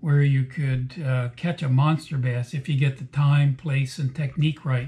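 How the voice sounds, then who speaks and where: A man speaks at a fairly slow pace in a somewhat breathy voice. His intonation stays fairly even. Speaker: fishing guide. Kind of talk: casual vlog chat. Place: home room. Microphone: webcam.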